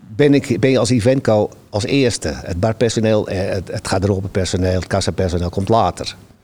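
A man's voice, fairly low in pitch, with a dark, mellow tone. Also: ordinary pitch variation, moderate pace. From Netherlands, Amsterdam-Noord. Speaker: venue volunteer host. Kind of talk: casual interview chat.

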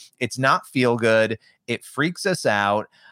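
A man's medium-pitched voice, a plain, everyday voice, with lively intonation and a dry, close sound with no echo. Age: 30s. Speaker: author and faith journalist. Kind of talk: interview. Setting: video call.

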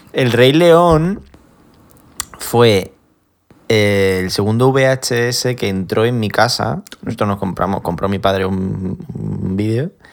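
A man speaks at a fairly low pitch with lively intonation. His pace is very slow, with long, frequent pauses. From Spain, Extremadura (village near Badajoz). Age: 20s. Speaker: podcast host. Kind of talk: casual chat.

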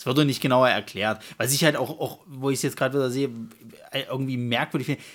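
On a very clean recording with a silent background, a man at medium pitch speaks at a very fast pace in a monotone, flat intonation. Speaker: film podcast co-host. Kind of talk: casual chat. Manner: halting, with repetitions.

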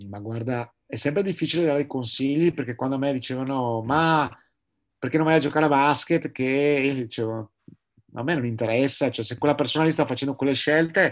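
The background is quiet. A man has an unremarkable speaking voice, fairly high in pitch, with ordinary pitch variation. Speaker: sailor and entrepreneur, paraplegic wheelchair user. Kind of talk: interview.

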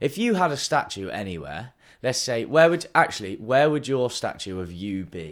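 A man with a Bristol accent speaks at a moderate pace and medium pitch. His pitch swings very widely on a very clean recording with a silent background. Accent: West Country English (Bristolian). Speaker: podcast co-host. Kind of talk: casual chat between friends. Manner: chatty and laughing often.

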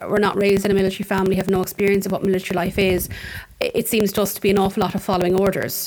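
A woman with an Irish Midlands accent at a medium pitch, with noticeable background noise. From Ireland, County Offaly (Tullamore). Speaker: podcast host. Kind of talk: interview.

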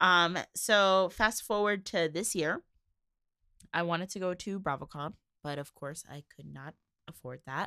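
With an American accent, a woman speaks at a fairly slow pace and fairly low pitch, with ordinary pitch variation, a bright, sharp tone, big swings in loudness, and long, frequent pauses, all in a dry, close sound with no echo. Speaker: podcast host. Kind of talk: casual monologue. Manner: rambling with frequent fillers.

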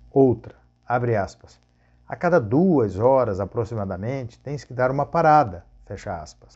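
With lively intonation, a man talks at a moderate pace and medium pitch in an unremarkable speaking voice. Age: 50s. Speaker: travel agent and motorcyclist vlogger. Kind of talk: monologue vlog.

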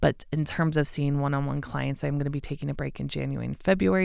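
Female speech captured in a very clean recording against a silent background. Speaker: astrologer podcast host. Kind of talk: solo podcast monologue.

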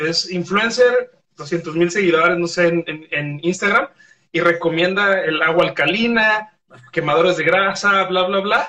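A man speaks in a raised, projected voice at a moderate pace, with ordinary pitch variation. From Mexico, Guadalajara. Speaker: sports medicine doctor. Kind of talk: casual interview on a live stream.

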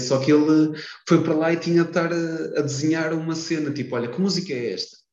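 A man with a European Portuguese accent, fairly high-pitched, very fast, with ordinary pitch variation and audible room echo. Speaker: podcast host. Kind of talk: casual chat. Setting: wearing a mask.

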